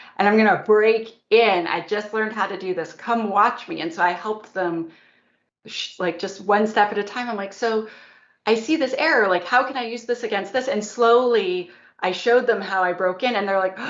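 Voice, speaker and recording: With audible room echo, a woman talks at a moderate pace and a medium pitch, with ordinary pitch variation. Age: 40s. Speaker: security expert and author. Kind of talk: conference talk and Q&A. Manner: animated.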